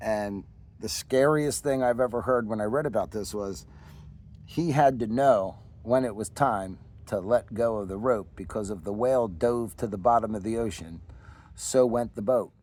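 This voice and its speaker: Speaking in a Philadelphia accent, a man talks at a moderate pace with a medium pitch. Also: ordinary pitch variation. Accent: Delco. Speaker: woodcarver and artist. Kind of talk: casual explanation of own artwork.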